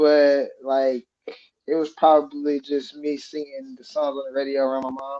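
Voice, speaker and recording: This man's voice sits at a fairly high pitch with a dark, mellow tone. He speaks at a moderate pace. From southern Indiana. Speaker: musician. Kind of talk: casual interview.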